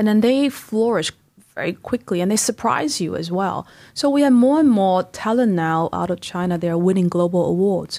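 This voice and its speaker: A woman speaks at medium pitch and a moderate pace, in a Taiwanese accent. Her intonation is lively, and the recording is very clean with a silent background. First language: Mandarin Chinese. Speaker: business executive and investor. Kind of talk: interview. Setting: studio.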